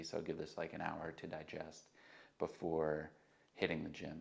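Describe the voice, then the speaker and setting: A man speaks in a relaxed tone at a very deep, low pitch. His intonation is monotone and flat. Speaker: fitness vlogger, natural bodybuilder. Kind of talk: casual vlog narration. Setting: at home, early morning. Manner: relaxed, many fillers (um, uh).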